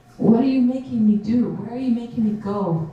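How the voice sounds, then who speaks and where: A woman with a fairly high pitch is heard amid noticeable background noise. Audible room echo surrounds her voice. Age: 70s. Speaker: conference speaker, Native elder and military veteran. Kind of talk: conference talk with audience Q&A.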